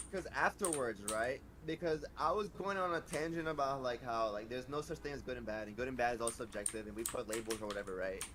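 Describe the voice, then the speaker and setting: A man at medium pitch, very fast with hardly any pauses and lively intonation. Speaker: streamer. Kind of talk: casual chat. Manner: stuttering.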